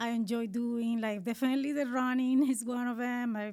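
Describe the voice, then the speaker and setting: A Colombian accent, monotone and flat in intonation, at a moderate pace. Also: woman. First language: Spanish. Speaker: marathon runner. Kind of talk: casual interview. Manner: halting.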